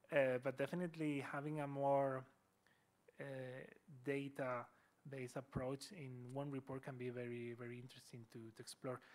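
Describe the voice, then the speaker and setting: A man with a Spanish accent at a moderate pace, monotone and flat, with long, frequent pauses and big swings in loudness. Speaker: speaker. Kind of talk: lecture. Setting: university hall with audience. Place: hall.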